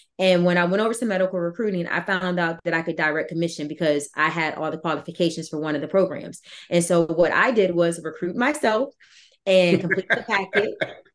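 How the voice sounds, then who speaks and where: A woman with an American accent speaks at a fairly quick pace in an unremarkable speaking voice. Her pitch is fairly low, with ordinary variation. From Virginia. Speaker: author and army veteran. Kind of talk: interview.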